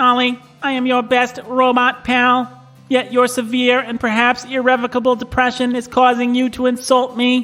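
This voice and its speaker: A put-on character voice speaks at a moderate pace and a fairly high pitch. Its intonation is flat and monotone, with faint music in the background. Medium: audio drama. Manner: flat, literal, says "bleep bloop"; deadpan robotic, overly formal.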